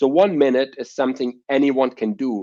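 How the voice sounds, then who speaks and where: A man with a German accent speaks with lively intonation. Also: dry, close sound with no echo. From Germany. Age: 30s. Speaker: entrepreneur. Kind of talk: interview. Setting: podcast.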